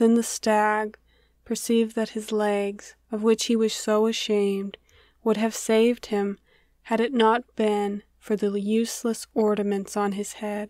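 Her voice is fairly high-pitched, monotone and flat. The woman is heard on a very clean recording with a silent background. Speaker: narrator. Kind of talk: fable read aloud.

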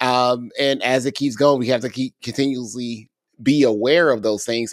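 Dry sound with no echo surrounds a man over a quiet background. He keeps a moderate pace. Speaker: podcast co-host, ed-tech educator; podcast co-host. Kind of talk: casual podcast chat. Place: home room. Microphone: studio mic.

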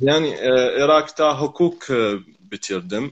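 This man speaks with an Arabic accent. His pace is fairly slow. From Iraq, Maysan; Iraq. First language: Arabic (speaking Turkish). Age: 20s. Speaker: Turkish learner. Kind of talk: casual conversation practice. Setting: live video call from home. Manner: halting. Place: home room.

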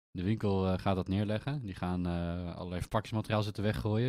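Very fast speech from a man with a very deep, low pitch, a dark, mellow tone and ordinary pitch variation. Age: 30s. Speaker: podcast co-host, IT business owner. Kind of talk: casual chat.

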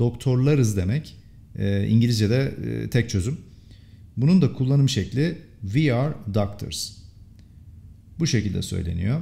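With long, frequent pauses, a man talks at a fairly slow pace in a somewhat breathy, medium-pitched voice that has a dark, mellow tone and lively intonation. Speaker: English teacher. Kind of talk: language lesson tutorial.

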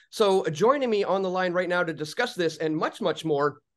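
A man's voice shows ordinary pitch variation, with a quiet background behind it. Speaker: online show host. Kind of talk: news commentary intro. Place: home room.

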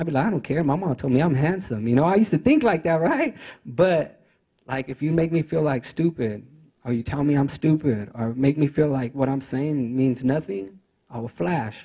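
Against a quiet background, a somewhat breathy man talks at a moderate pace and a fairly high pitch with lively intonation. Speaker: youth navigator at a rehabilitation organization; former prisoner. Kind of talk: conference speech. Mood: earnest, reflective. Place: meeting room. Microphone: handheld.

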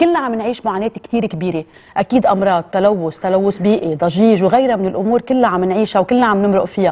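A woman at medium pitch, very fast with hardly any pauses, in a dark, mellow tone. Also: ordinary pitch variation. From Lebanon. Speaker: TV presenter. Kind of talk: emotional address to camera. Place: studio.

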